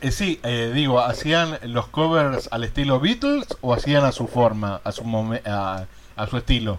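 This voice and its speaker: The speaker has an Argentine accent and ordinary pitch variation. The pace is fairly slow. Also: man, medium pitch for a man. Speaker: radio host. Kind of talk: radio interview.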